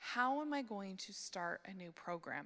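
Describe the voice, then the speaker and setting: Speaking at a moderate pace, a woman has a bright, sharp tone, a medium pitch and ordinary pitch variation. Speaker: conference speaker on church care ministry. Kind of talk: conference talk.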